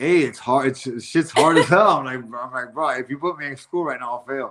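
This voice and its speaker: A man talks at a fairly quick pace. His pitch sits in the middle range and rises and falls in an ordinary way. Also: big swings in loudness. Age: 40s. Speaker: bare-knuckle fighter and podcaster. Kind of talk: casual chat. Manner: animated.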